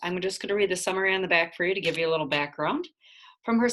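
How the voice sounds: Against a quiet background, the speaker uses a natural reading voice with ordinary pitch variation.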